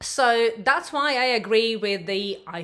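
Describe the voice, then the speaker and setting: A woman's bright, sharp tone carries lively intonation. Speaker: wellbeing YouTuber and hypnotherapist. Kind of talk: vlog monologue.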